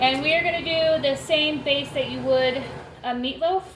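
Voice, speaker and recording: Over noticeable background noise and audible room echo, a woman speaks loudly at a high pitch and moderate pace. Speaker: homestead cooking vlogger. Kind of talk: cooking tutorial.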